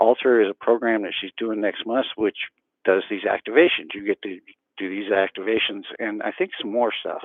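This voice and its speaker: Here a man speaks at a medium pitch. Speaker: self-healing practitioner and educator. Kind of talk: casual vlog talk to camera. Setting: early morning at home, camera on the floor. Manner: talking quietly; hesitant, many fillers.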